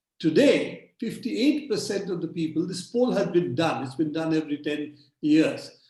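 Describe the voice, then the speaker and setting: A man at a moderate pace with very wide pitch swings, amid audible room echo. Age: 70s. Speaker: digital rights activist. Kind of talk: webinar talk.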